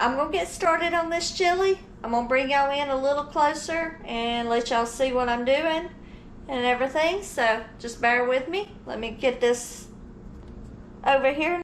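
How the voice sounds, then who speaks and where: With a strong Georgia accent, a woman speaks at a moderate pace with a high pitch and ordinary pitch variation. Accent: Southern (Georgia), strong. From Georgia, US South. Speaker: home cooking vlogger. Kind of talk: casual cooking tutorial. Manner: casual, chatty.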